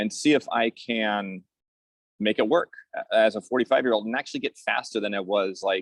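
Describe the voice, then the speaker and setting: With lively intonation and a moderate pace, a man talks in an ordinary speaking voice, the sound dry and close with no echo. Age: 40s. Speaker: masters swimmer and swim coach. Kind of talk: casual interview.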